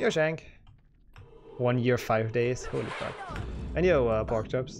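A man talks fairly slowly while noticeable background noise sits behind him. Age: 20s. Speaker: speedrunning streamer. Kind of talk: live gameplay commentary. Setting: home bedroom. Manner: animated. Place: home room.

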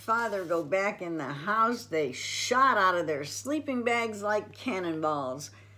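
An unforced reading voice, nothing more.

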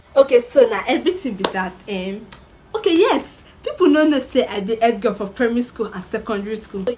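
Over light background noise, a woman speaks at a very fast pace with a high pitch and very wide pitch swings. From Nigeria. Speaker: vlogger. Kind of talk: casual talk to camera. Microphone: phone near.

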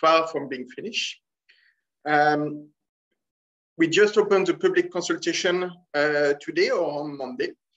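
Against a quiet background, a man with a strong French accent talks at a moderate pace, his fairly high pitch showing ordinary variation. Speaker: scuba dive shop owner. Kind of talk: casual talk to camera. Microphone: webcam.

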